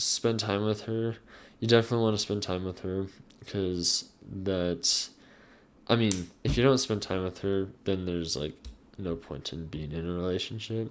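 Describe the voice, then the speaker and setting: This is a very clean recording with a silent background. A man with a very deep, low pitch speaks at a moderate pace with ordinary pitch variation. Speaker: youtuber. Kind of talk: casual advice vlog. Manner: halting, many fillers.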